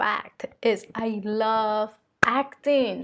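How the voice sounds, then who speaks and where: A woman speaks with a Spanish accent and ordinary pitch variation. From Colombia. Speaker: vlogger and spiritual channeler. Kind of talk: casual vlog monologue. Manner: hesitant, many fillers.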